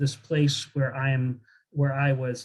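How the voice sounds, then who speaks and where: A man speaks at a fairly slow pace with a Midwestern accent. His voice is somewhat breathy. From rural Southern Illinois, US Midwest. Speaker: professor, author. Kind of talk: talk to audience, Q&A.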